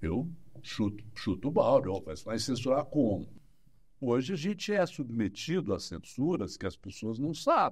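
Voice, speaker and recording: A man's fairly slow speech with vocal fry and very wide pitch swings. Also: medium pitch for a man. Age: 60s. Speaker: psychologist. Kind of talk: interview. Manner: animated.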